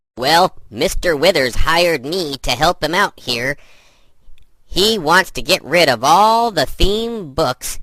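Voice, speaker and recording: A man speaks in a put-on character voice with a fairly high pitch. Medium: stage play. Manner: hesitant, rambling, filler words.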